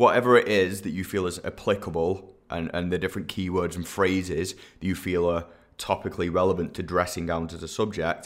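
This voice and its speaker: This man's very deep, low voice moves at a fairly quick pace with monotone, flat intonation. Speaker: SEO expert podcast host. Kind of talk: educational monologue with practical tips. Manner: conversational, slightly hesitant with repeats.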